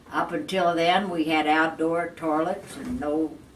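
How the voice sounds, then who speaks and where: A woman talks fairly slowly in a very deep, low voice with ordinary pitch variation. Background noise is noticeable. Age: 80s+. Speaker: Great Depression survivor. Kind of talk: interview answer.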